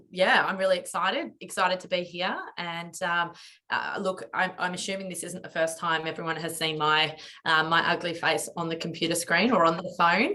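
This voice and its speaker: With a rural Australian accent, a woman speaks at a moderate pace and medium pitch over noticeable background noise. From remote Western Australia. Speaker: company founder. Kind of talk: business webinar. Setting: online webinar.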